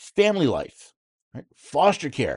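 Over a quiet background, a man with an American accent and an unremarkable speaking voice talks at a moderate pace with lively intonation. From New York State. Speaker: political talk radio host. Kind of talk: talk radio monologue and interview.

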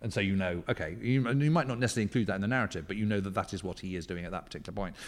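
An English accent on a very clean recording with a silent background. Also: man. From England, rural. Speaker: historian and author. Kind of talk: interview. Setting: hotel boardroom. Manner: animated.

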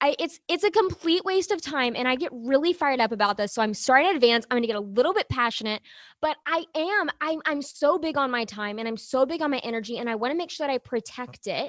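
A woman with an American accent, high-pitched and very fast, with lively intonation, hardly any pauses, a quiet background and a dry, close sound with no echo. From Arkansas, US South. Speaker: business coach. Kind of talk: interview.

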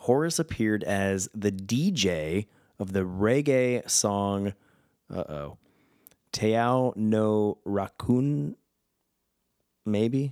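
Fairly low male voice, animated in tone and lively in intonation, on a very clean recording with a silent background. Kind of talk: casual solo podcast monologue.

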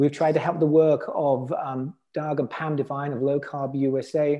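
A man with an English accent speaks at a moderate pace with fairly even intonation. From England. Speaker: health entrepreneur. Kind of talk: interview.

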